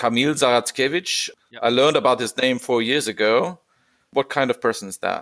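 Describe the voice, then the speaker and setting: A man with a German accent talks at a fairly quick pace with fairly even intonation, big swings in loudness and long, frequent pauses. The sound is very clean, dry and close, with no echo and a silent background. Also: medium pitch for a man. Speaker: podcast host on constitutional law. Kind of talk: podcast interview. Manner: formal.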